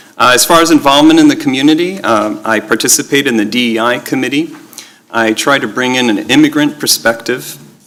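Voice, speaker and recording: Noticeable background noise sits behind a man talking at a fairly quick pace with ordinary pitch variation. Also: medium pitch for a man. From Israel. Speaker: school board candidate. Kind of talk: opening statement at candidate forum. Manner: halting, many fillers.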